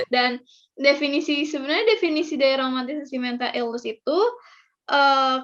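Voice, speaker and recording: Over a quiet background, a woman speaks at a high pitch and a moderate pace. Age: 20s. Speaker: university student. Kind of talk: casual chat. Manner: halting.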